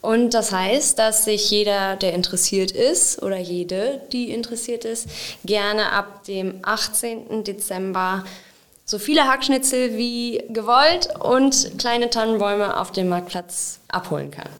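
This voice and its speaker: Here a woman speaks at a very slow pace. Her pitch is fairly high, with ordinary variation. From Sauerland, Germany (Wenden, Kreis Olpe). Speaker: municipal event organiser. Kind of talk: casual interview.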